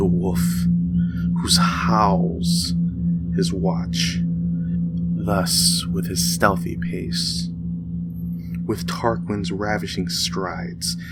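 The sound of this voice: Loud music plays behind a man doing a put-on character voice, low in pitch and fairly even in intonation, who talks at a very slow pace with long, frequent pauses amid audible room echo.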